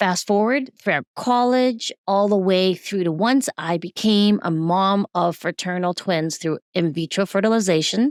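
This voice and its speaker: With a plain, everyday voice at medium pitch, a woman speaks at a fairly slow pace with hardly any pauses and very even loudness, the recording very clean with a silent background and a dry, close sound with no echo. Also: ordinary pitch variation. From Taiwan, raised in US from age six. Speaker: recovery coach, dancer and cancer survivor. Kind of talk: interview.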